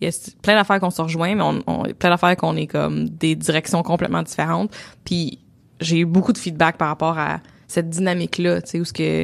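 In a very clean recording with a silent background, a woman with a Quebec accent speaks at a fairly quick pace. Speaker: podcast co-host and entrepreneur. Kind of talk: casual chat. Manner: gets louder and higher when passionate.

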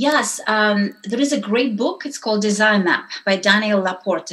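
A woman talks with a non-native accent. Her pitch sits in the medium range. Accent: foreign-accented English. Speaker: entrepreneur and women's network founder. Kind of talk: interview.

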